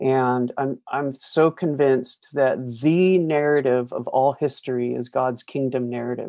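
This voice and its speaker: Against a quiet background, a man with an ordinary speaking voice and medium pitch talks at a fairly slow pace with fairly even intonation and hardly any pauses. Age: 50s. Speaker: pastor and author. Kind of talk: interview.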